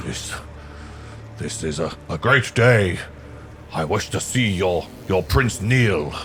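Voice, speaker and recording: Someone uses a put-on character voice at a fairly slow pace, with long, frequent pauses and clear background noise. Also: man, very deep, low pitch for a man. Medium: actual play. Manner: imperious, commanding.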